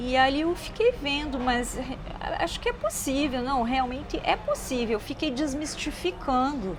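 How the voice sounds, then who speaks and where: At a fairly slow pace, a woman with a high pitch and ordinary pitch variation speaks through noticeable background noise. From southern Brazil (Rio Grande do Sul). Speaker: lawyer and translator. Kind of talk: interview. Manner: halting.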